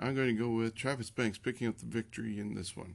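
A man of medium pitch speaks in an ordinary speaking voice at a moderate pace against a quiet background. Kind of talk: wrestling preview and predictions, not live commentary.

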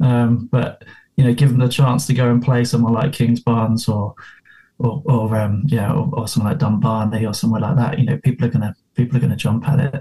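Speaking with an English accent, a man goes at a fairly quick pace in a dark, mellow tone. His medium pitch shows ordinary variation, and his voice is somewhat breathy. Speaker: golf club member and guest. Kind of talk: casual chat. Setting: video call.

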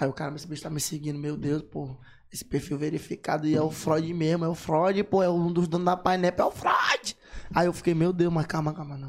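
At a fairly quick pace, a man speaks in a normal speaking voice, pitched fairly high, with fairly even intonation. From São Luís, Maranhão, Brazil. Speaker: rapper. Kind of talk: casual chat. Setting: studio.

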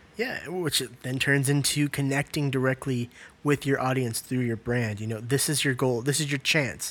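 A man with a medium pitch speaks at a moderate pace in a normal speaking voice. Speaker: podcast host, creative agency co-owner. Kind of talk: casual podcast conversation.

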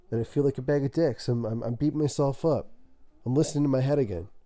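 A man speaks very fast in a fairly high voice with a dark, mellow tone. The recording is very clean, with a silent background. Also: long, frequent pauses. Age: 30s. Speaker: podcast host. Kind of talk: casual monologue.

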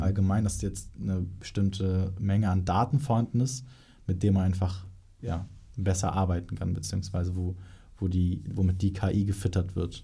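This man's voice is very deep and low, dark and mellow in tone. It is somewhat breathy, at a moderate pace. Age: young. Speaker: podcast host, marketing agency. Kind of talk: interview.

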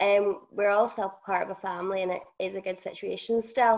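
The speaker uses monotone, flat intonation in a Northern Irish accent, against a quiet background. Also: woman. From Northern Ireland. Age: 20s. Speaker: podcast co-host. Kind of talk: testimony.

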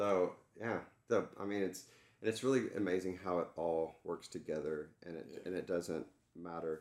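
Delivered at a moderate pace with ordinary pitch variation, this voice carries a Texan accent. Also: man, very deep, low pitch for a man. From Texas, Dallas area. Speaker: entertainment executive and coach. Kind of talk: casual interview.

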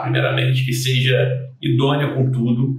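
Somewhat breathy, medium-pitched male voice with audible room echo. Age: 30s. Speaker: generator technician and sales manager. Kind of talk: casual interview.

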